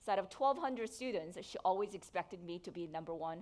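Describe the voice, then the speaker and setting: A woman with a Korean accent speaks in a medium pitch with ordinary pitch variation. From South Korea. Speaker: entrepreneur. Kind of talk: keynote speech.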